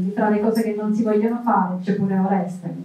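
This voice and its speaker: A woman's medium-pitched voice with fairly even intonation and audible room echo. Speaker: journalist and moderator; journalist, moderator. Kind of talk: moderated book talk. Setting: stage with audience. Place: hall.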